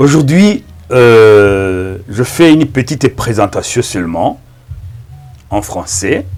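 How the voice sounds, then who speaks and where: Spoken at a very slow pace with long, frequent pauses, this voice carries a Rwandan accent and lively intonation over music in the background. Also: man, medium pitch for a man. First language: Kinyarwanda (speaking French). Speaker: pastor. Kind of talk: sermon. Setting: filmed in front of a camera. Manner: halting.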